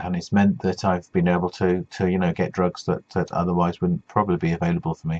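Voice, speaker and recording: In a very deep, low voice, a man speaks very fast in a flat monotone, with a dry, close sound and no echo. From west of England. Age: 50s. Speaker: cancer patient vlogger. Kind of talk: personal video blog. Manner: halting, many fillers.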